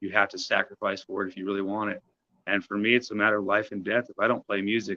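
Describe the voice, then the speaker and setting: A man at a very fast pace, fairly low in pitch, monotone and flat, with big swings in loudness. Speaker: singer-songwriter. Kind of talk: casual chat.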